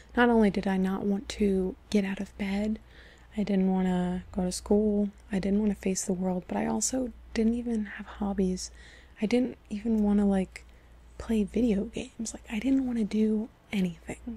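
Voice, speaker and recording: A soft-spoken woman talks at a moderate pace in a medium-pitched voice. Her tone is dark and mellow, and somewhat breathy. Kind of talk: personal storytime talk to camera.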